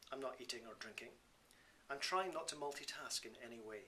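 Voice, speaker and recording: A man with a Scottish accent, medium pitch, ordinary pitch variation and a fairly quick pace. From Scotland. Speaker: Buddhist teacher and author. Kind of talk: reading from his own book.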